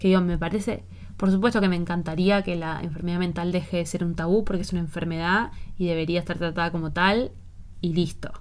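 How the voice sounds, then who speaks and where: Speaking with an Argentine accent at a fairly quick pace, a woman keeps a fairly low pitch and monotone, flat intonation while room echo is audible. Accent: Rioplatense Argentine Spanish. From Argentina. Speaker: podcast host. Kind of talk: casual conversational interview.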